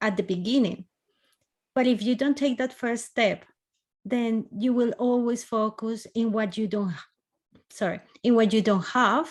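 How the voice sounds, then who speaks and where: A woman with a Spanish accent at a fairly high pitch, fairly slow pace, and ordinary pitch variation, with long, frequent pauses. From Colombia. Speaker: podcast host. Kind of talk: interview conversation.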